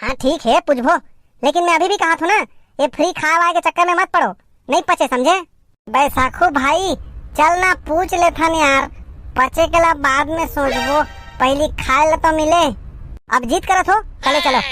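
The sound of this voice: A woman performs a cartoonish character voice at a moderate pace, leaving long, frequent pauses. The sound is dry and close, with no echo.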